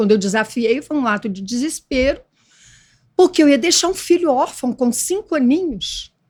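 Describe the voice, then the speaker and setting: At a moderate pace, a woman talks with a high pitch. Her pitch moves through very wide swings. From Brazil, Espírito Santo (Vila Velha). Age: 80s+. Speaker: former actress, author. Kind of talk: interview testimony.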